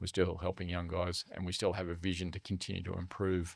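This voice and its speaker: A man with an Australian accent speaks at a fairly quick pace with a very deep, low pitch and monotone, flat intonation. The recording is very clean, with a silent background and a dry, close sound with no echo. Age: 60s. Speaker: charity leader for young men's mental health. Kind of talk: podcast interview. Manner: casual, many fillers.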